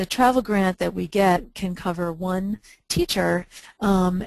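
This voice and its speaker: Fairly even in intonation, a woman speaks at a medium pitch and moderate pace with a normal speaking voice. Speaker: nonprofit chapter volunteer presenter. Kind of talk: webinar presentation. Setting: webinar.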